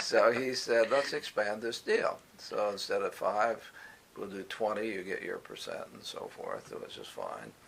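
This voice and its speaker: Over noticeable background noise, a man talks at a fairly slow pace with big swings in loudness. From Indiana, USA. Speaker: retired university professor and administrator. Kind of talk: oral history interview answer.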